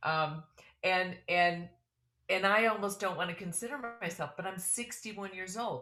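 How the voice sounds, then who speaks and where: Music is playing in the background. Over it, a woman speaks with ordinary pitch variation. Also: medium pitch for a woman, moderate pace. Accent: American. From US Midwest, Chicago. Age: 60s. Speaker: fitness education webinar host. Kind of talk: webinar interview.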